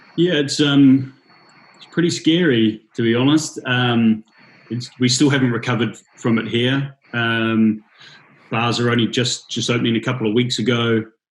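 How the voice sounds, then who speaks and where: His loudness swings widely while the man keeps a medium pitch, a moderate pace and fairly even intonation. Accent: New Zealand. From New Zealand. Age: 30s. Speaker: bartender and drinks brand ambassador. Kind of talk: casual interview.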